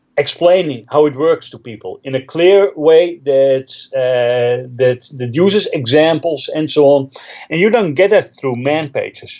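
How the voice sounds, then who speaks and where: Speaking with a Dutch accent, a man has a fairly high pitch and ordinary pitch variation. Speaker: Linux trainer and author. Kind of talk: interview.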